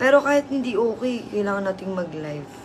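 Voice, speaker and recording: Amid noticeable background noise and audible room echo, a woman talks at a moderate pace in a medium pitch with lively intonation. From Southern Leyte, Philippines. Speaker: live streamer. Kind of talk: casual live stream chat. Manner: animated.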